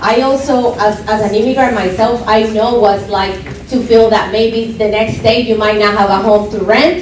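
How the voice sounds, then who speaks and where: Over noticeable background noise and audible room echo, a woman with a Spanish accent speaks at a moderate pace in a fairly high pitch. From Colombia. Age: young. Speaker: political candidate. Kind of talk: campaign speech. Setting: club meeting with audience. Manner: impassioned.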